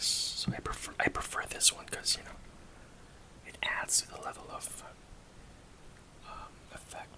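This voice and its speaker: A man whispers at a moderate pace, with long, frequent pauses and noticeable background noise. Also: big swings in loudness. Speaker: ASMR creator. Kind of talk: casual talk to camera, collectible figure showcase. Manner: soft-spoken, whispery ASMR delivery.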